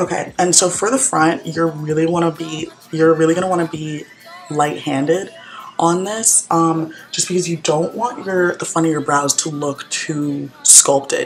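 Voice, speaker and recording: A woman with a fairly low pitch and ordinary pitch variation talks at a moderate pace, with noticeable background noise behind her. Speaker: college student. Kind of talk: makeup tutorial talk to camera. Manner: casual, chatty.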